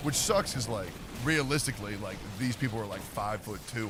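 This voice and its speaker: A man talks at a fairly quick pace with a fairly low pitch and ordinary pitch variation, amid noticeable background noise and audible room echo. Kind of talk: casual chat. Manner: loud.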